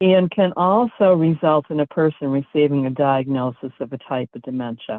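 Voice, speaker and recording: At a moderate pace, a woman talks with a very deep, low pitch and ordinary pitch variation. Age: 70s. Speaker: presenter on aging and environments. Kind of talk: webinar presentation. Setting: live-streamed webinar.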